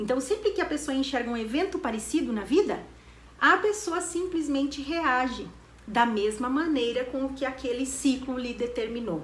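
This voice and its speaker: A woman with a high voice talks at a moderate pace with lively intonation. Audible room echo and noticeable background noise come through. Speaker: therapy institute director. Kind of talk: educational talk.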